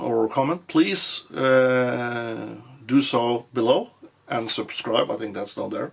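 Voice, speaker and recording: A man with a Norwegian accent at a fairly slow pace, ordinary pitch variation, and noticeable background noise. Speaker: firearms youtuber. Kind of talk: product review; range shooting commentary. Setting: shooting range. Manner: halting, many fillers.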